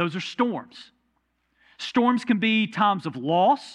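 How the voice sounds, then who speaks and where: Over a quiet background, a man speaks with a Southern US accent. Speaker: pastor. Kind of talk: sermon. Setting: church. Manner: conversational.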